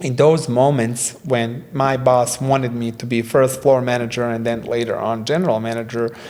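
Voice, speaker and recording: Over noticeable background noise and audible room echo, a man with a non-native accent speaks fairly slowly with fairly even intonation. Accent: foreign. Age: 30s. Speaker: creative director and restaurant owner. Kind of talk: casual interview chat. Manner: halting, many fillers.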